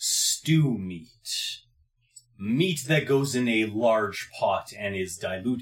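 A man's put-on character voice, medium in pitch, at a very slow pace. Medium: actual play. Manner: formal, stilted phrasing.

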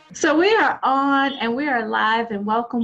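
A woman talks at a moderate pace with fairly even intonation. Noticeable background noise runs underneath. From Louisiana. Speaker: podcast host. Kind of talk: interview; scripted outro. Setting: live online stream.

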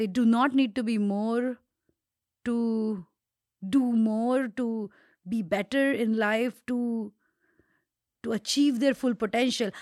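In a non-native accent, a voice moves at a very slow pace with long, frequent pauses and fairly even intonation, in a dry, close sound with no echo on a very clean recording with a silent background. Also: woman, fairly high pitch for a woman. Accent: foreign accent, she says she carries one. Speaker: podcast co-host. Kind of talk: casual chat. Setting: studio, same room.

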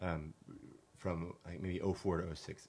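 A somewhat breathy man with an American accent, very deep, low pitch, monotone, flat intonation and a fairly quick pace. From California. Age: 40s. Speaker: artist and do-it-yourselfer. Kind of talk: casual chat. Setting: studio.

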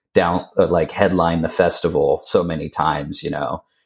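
A man speaks with a very deep, low pitch at a moderate pace. The recording is very clean, with a silent background. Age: 30s. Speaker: metal band vocalist. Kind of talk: casual interview chat.

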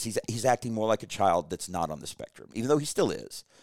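A man's very fast speech with vocal fry and very wide pitch swings, dry and close with no echo. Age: 40s. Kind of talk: casual chat.

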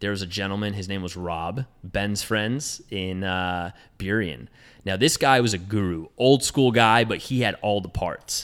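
A man's fairly low voice with an American accent, ordinary pitch variation and a fairly slow pace, on a very clean recording with a silent background. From Southern California. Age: 20s. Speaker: car dealership employee and car enthusiast. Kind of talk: casual chat.

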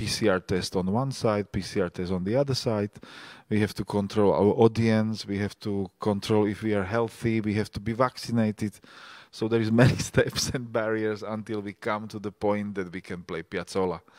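A man with a Slovak accent at a fairly low pitch and a moderate pace with monotone, flat intonation, on a very clean recording with a silent background and a dry, close sound with no echo. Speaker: festival organizer and podcast host. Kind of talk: panel discussion. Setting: live stage with audience.

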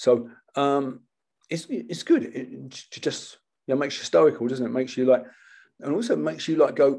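Speaking with a British accent, a man leaves long, frequent pauses and makes big swings in loudness. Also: moderate pace. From Britain. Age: 70s. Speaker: martial arts instructor. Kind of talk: casual chat.

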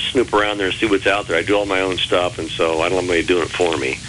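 A man with an American accent keeps his intonation fairly even as noticeable background noise carries on behind him. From Texas. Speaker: blues musician and songwriter. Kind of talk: interview. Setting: phone call.

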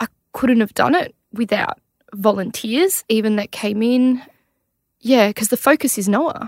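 A woman with an Australian accent speaks at a fairly slow pace and a fairly high pitch, with ordinary pitch variation, in a dry, close sound with no echo. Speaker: mother of a child with cancer. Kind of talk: personal testimony in interview. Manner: chatty.

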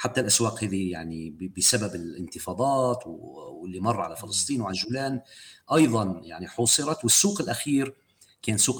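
This man has an ordinary speaking voice at a fairly low pitch. His intonation is lively and his pace moderate. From Golan Heights. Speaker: human rights activist. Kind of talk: interview. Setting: podcast.

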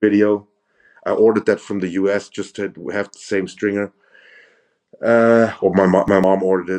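In a German accent, the speech moves at a moderate pace with long, frequent pauses and monotone, flat intonation. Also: man, fairly low pitch for a man. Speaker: professional bodybuilder. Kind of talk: casual chat.

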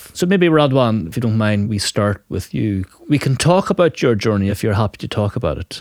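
In an Irish accent, a man with a fairly low pitch speaks at a moderate pace with lively intonation, and the sound is dry and close with no echo. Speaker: podcast host. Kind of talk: casual chat.

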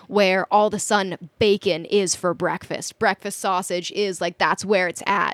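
A woman with an American accent has an unremarkable speaking voice. She keeps a moderate pace and fairly even intonation. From Minnesota. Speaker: sailor. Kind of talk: casual chat.

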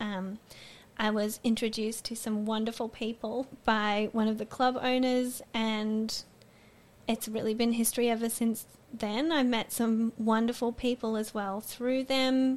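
A woman with an Australian accent speaks fairly slowly in a flat monotone at a fairly high pitch. The recording is very clean and the background silent. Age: 20s. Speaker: student. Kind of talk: interview testimony.

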